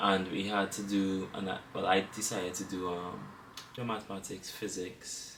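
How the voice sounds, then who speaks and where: A man with a Trinidadian accent, fairly low in pitch, with audible room echo. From Trinidad and Tobago. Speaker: engineering student. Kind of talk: casual interview chat.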